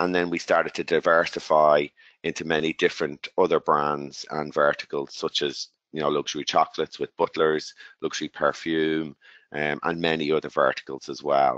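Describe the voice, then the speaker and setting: A man with an Irish accent at a moderate pace, in a dry, close sound with no echo. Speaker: tech company executive. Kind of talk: webinar presentation. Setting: webinar call.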